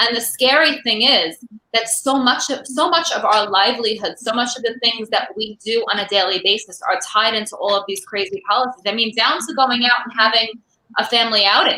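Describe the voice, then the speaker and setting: Fairly quick speech from a woman with an American accent and a fairly high pitch. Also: ordinary pitch variation. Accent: Brooklyn, comes out sometimes. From New York, Brooklyn. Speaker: online show host, activist. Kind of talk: casual chat.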